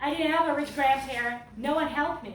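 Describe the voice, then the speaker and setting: With audible room echo, a woman talks in a high voice using fairly even intonation. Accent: non-native. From Serbia. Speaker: political candidate. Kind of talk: campaign speech. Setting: fundraiser event with audience. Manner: impassioned.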